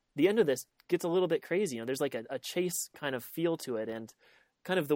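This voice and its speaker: A man talking at a very fast pace. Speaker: podcast host. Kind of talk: casual interview chat. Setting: call.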